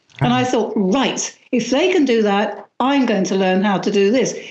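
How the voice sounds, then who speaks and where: Audible room echo surrounds a woman's voice. She talks at a moderate pace with lively intonation. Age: 60s. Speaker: witchcraft author. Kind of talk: interview.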